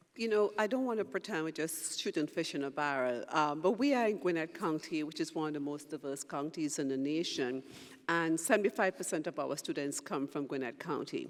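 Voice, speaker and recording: The speaker has a Trinidadian accent. The pace is fairly quick, with hardly any pauses. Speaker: university president. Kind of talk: panel discussion.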